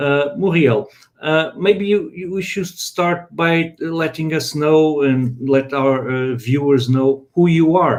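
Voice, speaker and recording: Speaking very slowly, a man uses a fairly high pitch with ordinary variation. He has a Portuguese accent. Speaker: live stream host. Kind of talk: live panel interview. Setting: online live stream. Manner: halting.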